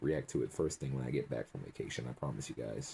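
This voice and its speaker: A man talks at a very fast pace. His tone is dark and mellow, with vocal fry. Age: young. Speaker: YouTube reaction video creator. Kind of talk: casual video outro. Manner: animated.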